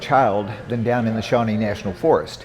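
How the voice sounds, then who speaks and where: The speaker has an American accent and talks at a moderate pace. Noticeable background noise sits behind the voice. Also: man. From Southern Illinois. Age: 60s. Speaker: environmental activist and former coal miner. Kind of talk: interview. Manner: halting, many fillers and restarts.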